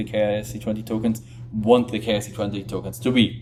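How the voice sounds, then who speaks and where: A man's medium-pitched voice comes at a moderate pace, with noticeable background noise underneath. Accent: non-native. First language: not English. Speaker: crypto video presenter. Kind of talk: tutorial. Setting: temporary setup while on vacation. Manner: halting, with fillers.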